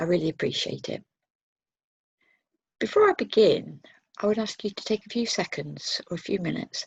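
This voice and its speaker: A woman speaks at a fairly quick pace. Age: 60s. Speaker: speaker sharing personal experience of trauma and resilience. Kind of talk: testimony. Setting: pre-recorded online conference workshop.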